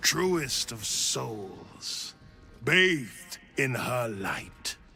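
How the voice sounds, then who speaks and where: A man puts on a character voice at a medium pitch, with very wide swings in pitch. He speaks at a very slow pace. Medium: video game. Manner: grandiose, preaching.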